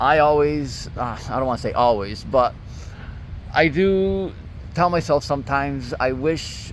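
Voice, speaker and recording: A man speaks in an ordinary speaking voice. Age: 30s. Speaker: fitness vlogger. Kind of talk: casual vlog monologue. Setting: outdoors at a park. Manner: casual, filler-heavy.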